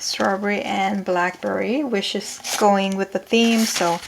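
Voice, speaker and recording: Soft-spoken and at a very slow pace, this voice carries a non-native accent over noticeable background noise. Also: woman. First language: not English. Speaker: crafting YouTuber. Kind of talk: casual craft tutorial. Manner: halting with frequent fillers.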